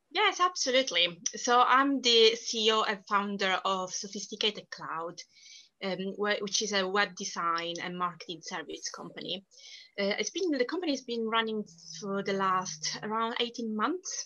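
A woman with a strong Italian accent speaks at a fairly slow pace and a fairly high pitch, with lively intonation. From southern Italy. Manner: talkative, animated.

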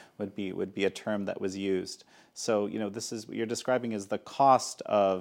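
A man's fairly low voice with fairly even intonation at a moderate pace, on a very clean recording with a silent background. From Canada. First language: Polish. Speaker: interview show host. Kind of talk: interview. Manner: halting, frequent repetitions.

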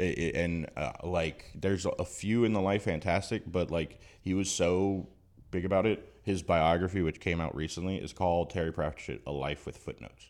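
Very deep and low, a man's voice carries a slight Southern Louisiana accent at a moderate pace with ordinary pitch variation. The recording is very clean, with a silent background. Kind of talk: casual chat.

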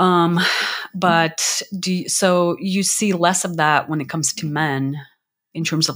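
A very clean recording, silent background, and fairly even intonation throughout. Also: woman. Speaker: podcast host, life coach. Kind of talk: casual interview chat. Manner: hesitant, many fillers.

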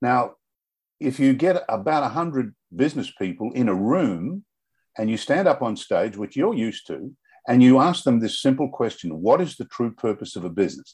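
Against a quiet background, a man with a medium pitch speaks with very wide pitch swings. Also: moderate pace. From Australia. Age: 70s. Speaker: author, semi-retired businessman. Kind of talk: casual interview.

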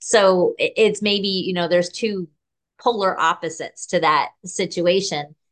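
Against a quiet background, a woman with an unremarkable speaking voice speaks at a fairly low pitch with fairly even intonation. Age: 50s. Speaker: podcast host. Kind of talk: interview.

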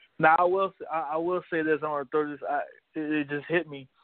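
In a plain, everyday voice, a man with a fairly high pitch speaks at a moderate pace with fairly even intonation. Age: 20s. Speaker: sports podcast host. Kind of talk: casual interview.

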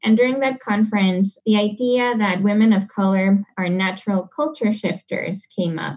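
A woman with a medium pitch and a somewhat breathy voice speaks at a moderate pace. Her pitch variation is ordinary, and she hardly pauses at all. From Panama (Panama City). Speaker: community organizer and racial justice advocate. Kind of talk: interview conversation. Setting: remote podcast interview.

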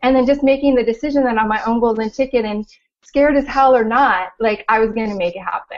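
A woman talks fairly quickly with a Californian accent. Her pitch is fairly high and her intonation fairly even. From Southern California. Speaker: life coach. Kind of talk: interview.

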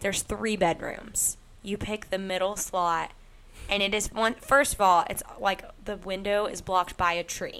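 Bright and sharp in tone, a woman speaks at a medium pitch with fairly even intonation and a fairly slow pace. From Arkansas. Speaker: podcast co-host, grad student. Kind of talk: casual chat.

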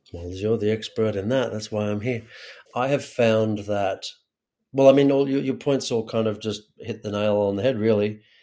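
Speaking in an ordinary speaking voice, a man keeps a fairly low pitch, a moderate pace and fairly even intonation. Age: 40s. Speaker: actor and acting coach turned community builder. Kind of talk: interview conversation.

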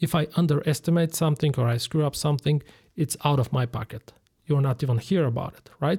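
A man's fairly high, somewhat breathy voice with a dark, mellow tone and a Bulgarian accent, fairly quick, in a very clean recording with a silent background and a dry, close sound with no echo. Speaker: general contractor. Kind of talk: interview.

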